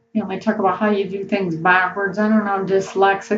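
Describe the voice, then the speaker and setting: Music plays behind a woman whose voice is pitched in her middle range. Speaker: spiritual vlogger. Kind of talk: casual monologue vlog. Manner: halting, repeats words.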